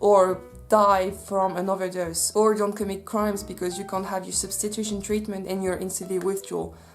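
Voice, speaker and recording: A woman with a Swiss French accent speaks at a moderate pace in a medium pitch, with monotone, flat intonation. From French-speaking Switzerland. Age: 20s. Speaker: social worker. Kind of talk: casual talk to camera.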